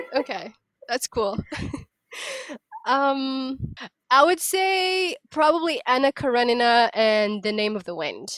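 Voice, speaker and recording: With a non-native accent and a high pitch, a woman speaks at a fairly slow pace, her pitch swinging very widely, with long, frequent pauses and a dry, close sound with no echo. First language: not English. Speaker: podcast co-host. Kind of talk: casual chat.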